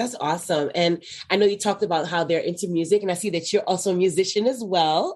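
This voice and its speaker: A woman at a medium pitch talks very fast, her intonation fairly even. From Haitian background. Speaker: podcast host and branding consultant. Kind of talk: podcast interview.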